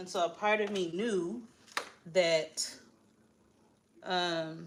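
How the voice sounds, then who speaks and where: A woman speaks very slowly in a fairly low pitch with fairly even intonation. The room echo is audible. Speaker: livestream host, motivational speaker. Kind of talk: casual live chat. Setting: livestream at home, at a treadmill. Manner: chatty, addresses viewers.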